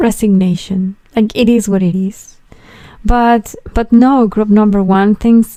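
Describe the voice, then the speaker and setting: Speaking at a very slow pace with a non-native accent, a woman has a dark, mellow tone at a medium pitch. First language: not English. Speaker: tarot reader. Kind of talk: tarot reading monologue. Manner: halting, with fillers and repetitions.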